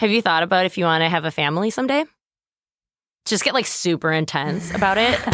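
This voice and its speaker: A woman's fairly low voice at a very fast pace, broken by long, frequent pauses, with lively intonation and very even loudness. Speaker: podcast host. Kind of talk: casual interview chat.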